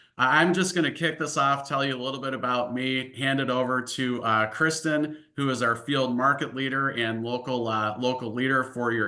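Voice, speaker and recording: With a slight Upper Midwest accent, a man speaks in a bright, sharp tone at a moderate pace with fairly even intonation. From US Midwest, Illinois-Wisconsin border. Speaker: financial services executive. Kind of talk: webinar presentation. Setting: online webinar. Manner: many filler words (uh, um).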